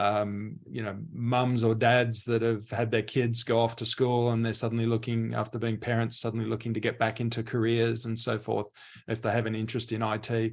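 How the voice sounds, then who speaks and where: A man with an Australian accent at medium pitch, monotone and flat, fairly quick with hardly any pauses, on a very clean recording with a silent background. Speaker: mainframe industry expert. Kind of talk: panel discussion.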